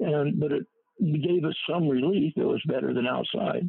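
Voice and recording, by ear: A man speaks at a fairly high pitch with ordinary pitch variation. His voice is gravelly, with vocal fry and a slightly husky edge. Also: moderate pace.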